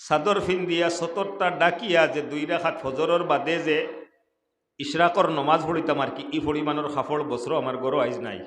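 In a Sylheti accent, a man speaks at a fairly high pitch with ordinary pitch variation, and the room's echo is audible. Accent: Sylheti-accented Bengali. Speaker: Islamic preacher. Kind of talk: sermon.

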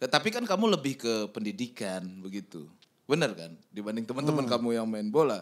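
A man talks at a fairly quick pace with lively intonation and big swings in loudness. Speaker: podcast host. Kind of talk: casual chat. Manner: playful. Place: studio. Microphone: studio mic.

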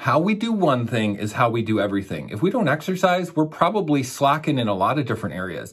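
Against a quiet background, a man with a fairly high pitch and vocal fry races along at a very fast pace, his pitch swinging very widely in an enthusiastic tone with hardly any pauses. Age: 40s. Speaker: raw vegan coach and channel host; raw vegan coach, channel host. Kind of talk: monologue to camera. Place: studio.

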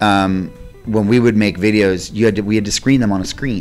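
Faint music plays in the background as a man speaks at a fairly low pitch. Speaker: interviewee. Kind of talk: interview answer. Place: hall. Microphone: handheld.

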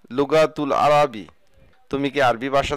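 A man's fairly high voice in a very clean recording with a silent background. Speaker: Arabic language teacher. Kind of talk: tutorial.

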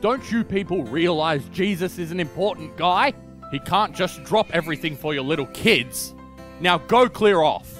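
In a put-on character voice, a man shouts in a gruff, high-pitched, angry tone at a moderate pace while music plays in the background. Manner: angry, yelling.

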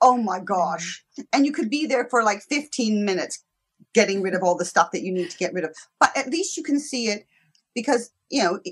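Against a quiet background, a woman talks at a fairly quick pace in a somewhat breathy voice with very wide pitch swings. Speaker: guest. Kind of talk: interview answer. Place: home room. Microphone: video call.

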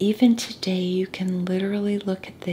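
Soft-spoken and calm in tone, a woman speaks with monotone, flat intonation. There is light background noise. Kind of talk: soft-spoken Bible study reading and teaching. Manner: soft-spoken, calm, relaxing. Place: home room. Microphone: studio mic.

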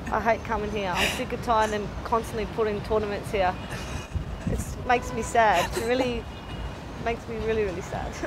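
Against noticeable background noise, a woman talks at a fairly quick pace with long, frequent pauses. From Australia. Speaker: professional footballer. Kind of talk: casual interview. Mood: joking, sarcastic; emotional story told warmly. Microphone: lapel.

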